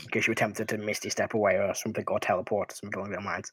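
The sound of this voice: This is an unforced reading voice. The words are read in that manner throughout.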